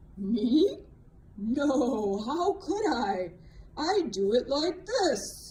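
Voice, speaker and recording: In a put-on character voice, a female-sounding speaker talks at a very slow pace in a high pitch. Her pitch swings very widely, with light background noise behind her. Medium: read story.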